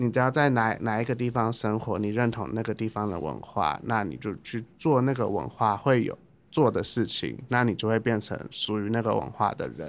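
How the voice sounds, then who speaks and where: A man's medium-pitched voice with vocal fry, ordinary pitch variation, a moderate pace and hardly any pauses, on a very clean recording with a silent background. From Taipei, Taiwan. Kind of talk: casual chat.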